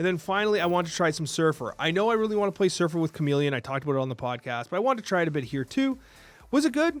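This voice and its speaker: An animated, very fast delivery with very wide pitch swings, over music in the background. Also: man, high pitch for a man. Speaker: gaming YouTuber. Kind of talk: game review.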